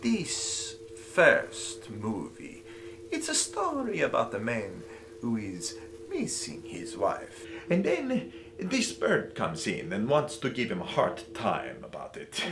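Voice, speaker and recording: Delivered in a put-on character voice at a fairly slow pace, the speech has clear background noise behind it. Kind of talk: comic overacting. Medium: comedy sketch.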